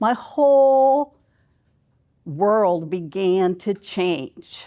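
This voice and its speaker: The voice is loud and dark, mellow in tone, moving at a very slow pace with very wide pitch swings. The recording is very clean, with a silent background. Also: woman, medium pitch for a woman. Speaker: life coach, keynote speaker. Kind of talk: keynote speech. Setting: conference stage with audience.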